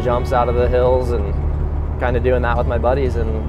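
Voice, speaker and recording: With music in the background, a man's voice comes through dry, with no echo. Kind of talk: interview answer.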